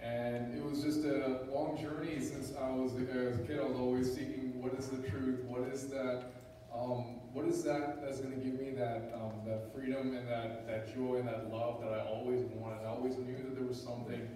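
With hardly any pauses, a man speaks in a monotone, flat intonation amid strong room echo and light background noise. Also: moderate pace. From India. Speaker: church visitor. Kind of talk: testimony. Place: church.

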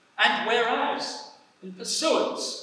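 With strong room echo around him, a man talks at a very slow pace in a raised, projected voice. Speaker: council official reading a resolution. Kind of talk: formal ceremonial reading. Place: church. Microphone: podium.

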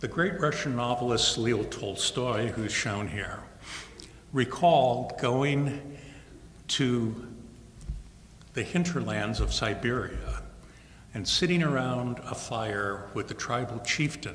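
A man speaks at a very slow pace with long, frequent pauses and ordinary pitch variation, light background noise behind him. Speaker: guest lecturer. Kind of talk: lecture. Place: hall. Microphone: podium.

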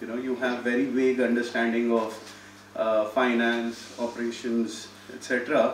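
At a fairly slow pace, a man speaks at a medium pitch in monotone, flat intonation. Audible room echo and light background noise surround him. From India, Delhi. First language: Hindi. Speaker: startup incubator CEO; guest. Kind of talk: talk to students. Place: hall. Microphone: podium.

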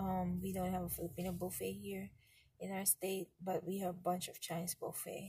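A woman speaks at a fairly low pitch with vocal fry. Her tone is dark and mellow and her intonation flat and monotone. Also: moderate pace. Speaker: family vlogger. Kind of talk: casual vlog chat. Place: car. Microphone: phone near.

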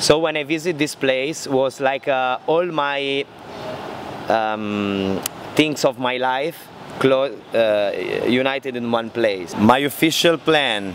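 The speech comes at a very slow pace. Noticeable background noise is present. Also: man, dry sound with no echo. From Italy (Milan). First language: Italian. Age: 30s. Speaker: motorbike traveller. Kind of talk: interview. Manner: halting. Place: street. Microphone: handheld.

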